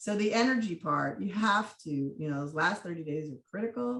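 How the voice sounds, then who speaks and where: A woman's fairly low-pitched, a normal speaking voice at a moderate pace with lively intonation. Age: 60s. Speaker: state legislative candidate. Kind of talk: panel talk at online campaign training.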